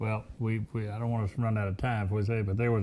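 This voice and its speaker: A man talks at a very fast pace in a fairly low pitch, his tone dark and mellow and his intonation flat and monotone, on a very clean recording with a silent background. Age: 60s. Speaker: radio talk show host. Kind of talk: radio interview.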